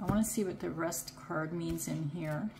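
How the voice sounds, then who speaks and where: A woman's fairly low voice carries audible echo from the room. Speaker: tarot card reader. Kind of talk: pick a card tarot reading. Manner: casual; halting.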